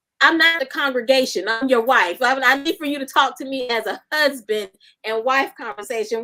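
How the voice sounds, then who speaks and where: Animated and bright, a woman with a high, sharp voice speaks at a fairly quick pace. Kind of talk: casual chat.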